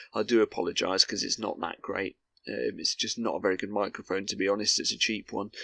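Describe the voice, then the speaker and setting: A man with a British accent talks at a very fast pace, with a dry, close sound and no echo. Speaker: gaming commentator. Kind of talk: gameplay commentary. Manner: droning, monotone.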